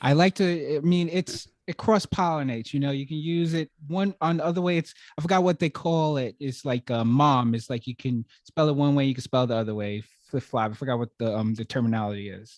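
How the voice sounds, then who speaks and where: A man with a New York accent speaks at a fairly quick pace in a fairly high pitch for a man, his intonation lively and hardly any pauses breaking up the dry, close sound with no echo. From Brooklyn, New York. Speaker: podcast host. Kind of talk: podcast interview. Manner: halting, many fillers.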